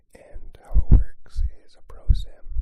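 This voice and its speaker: A man is whispering. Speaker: ASMR creator and graduate student. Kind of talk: ASMR whispered ramble, casual talk to camera. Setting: recorded with a portable recorder, binaural. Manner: whispered, soft-spoken.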